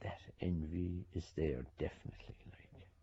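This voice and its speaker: A man speaks with a very deep, low pitch and a dark, mellow tone. His voice has vocal fry and a Cork accent. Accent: Cork Irish. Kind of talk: interview commentary.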